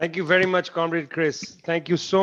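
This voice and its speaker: A man speaks with a high pitch. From India. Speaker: panel chair. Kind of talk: moderating a webinar. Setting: video call.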